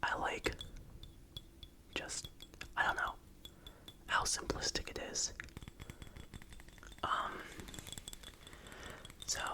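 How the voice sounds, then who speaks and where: The whispering goes at a very slow pace with long, frequent pauses, over noticeable background noise. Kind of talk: ASMR whispering and rambling. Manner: whispered.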